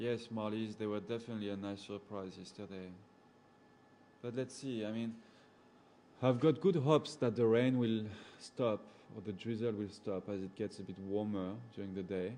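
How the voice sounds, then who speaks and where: In a strong French accent, a man with a dark, mellow tone and fairly low pitch speaks with long, frequent pauses. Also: fairly even intonation, moderate pace. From Gabon, central Africa. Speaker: safari guide. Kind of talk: live chat with viewers. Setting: indoors at a computer, talking over PC. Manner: casual, hesitant with fillers.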